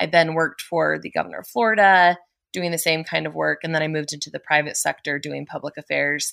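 Talking very fast in an American accent, a woman sounds dry and close with no echo. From Colorado. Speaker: career coach. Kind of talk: interview. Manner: animated.

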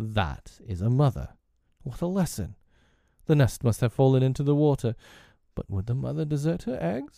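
Using a put-on character voice at a medium pitch, a man speaks with long, frequent pauses. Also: moderate pace. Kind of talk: theatrical villain in a storybook reading. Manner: passionate, grandiloquent, old-fashioned speech.

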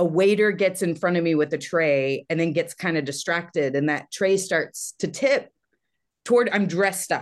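Speaking with an American accent, a woman has an ordinary speaking voice with a fairly low pitch. She talks at a moderate pace with ordinary pitch variation. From Texas. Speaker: comedian and TV writer. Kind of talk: casual chat.

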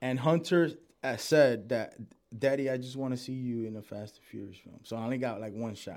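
A man with an American accent speaks in a plain, everyday voice at a fairly quick pace, his medium pitch varying in an ordinary way while his loudness swings widely. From Dominican heritage, New York. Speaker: actor. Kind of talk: casual chat.

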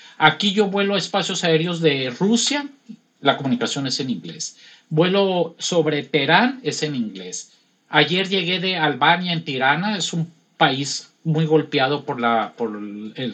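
A man speaks at a fairly slow pace. His fairly high pitch swings very widely. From Los Mochis, Sinaloa, Mexico. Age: 60s. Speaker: airline pilot. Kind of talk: casual interview.

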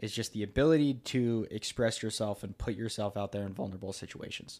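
With an American accent, a man in a plain, everyday voice speaks at a fairly quick pace and fairly low pitch on a very clean recording with a silent background. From United States. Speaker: content creator and podcaster. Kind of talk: casual chat.

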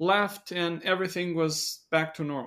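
Speech with a Romanian accent comes through on a very clean recording with a silent background. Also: man. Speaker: pastor and theology scholar. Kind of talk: casual interview discussion.

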